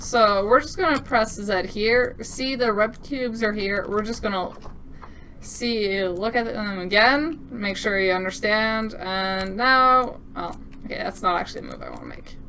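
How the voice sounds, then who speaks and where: In a room with audible echo, a woman speaks at a fairly slow pace in a fairly high pitch, her tone upbeat, bright and sharp, her loudness swinging widely. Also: ordinary pitch variation. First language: French. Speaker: game developer demoing own game. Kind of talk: gameplay demo commentary. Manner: casual, upbeat.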